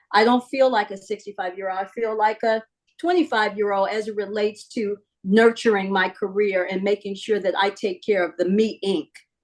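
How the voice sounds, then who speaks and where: Here a woman talks at a fairly quick pace with fairly even intonation. She has a medium pitch and an unremarkable speaking voice. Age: 60s. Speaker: sports league executive. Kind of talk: interview.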